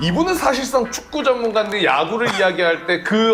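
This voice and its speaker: Over noticeable background noise, a man with a high pitch talks at a moderate pace, his pitch swinging very widely. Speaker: talk show host. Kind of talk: sports talk show hosting.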